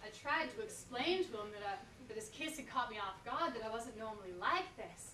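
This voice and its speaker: Over light background noise and audible room echo, a woman speaks in a raised, projected voice. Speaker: performer. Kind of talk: stage monologue performance. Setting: stage with audience. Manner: animated, comic, coy character voice with laughs; halting, hesitant, flustered, stammering repeats. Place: stage. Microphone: camera far.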